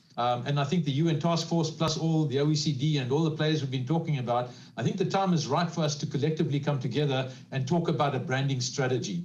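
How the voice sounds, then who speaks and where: Speech comes at a very fast pace, with audible echo from the room. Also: man, fairly high pitch for a man, ordinary pitch variation, very even loudness. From South Africa. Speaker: panelist on social economy. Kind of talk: panel discussion.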